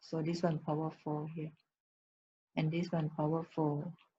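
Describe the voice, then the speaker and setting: Somewhat breathy and fairly low in pitch, a woman speaks with a monotone, flat intonation. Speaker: math teacher. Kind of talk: lecture. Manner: slow.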